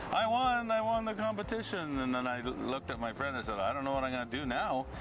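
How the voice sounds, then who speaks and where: A man talking at a fairly quick pace with very wide pitch swings, over noticeable background noise. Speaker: town crier. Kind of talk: interview answer. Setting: outdoors.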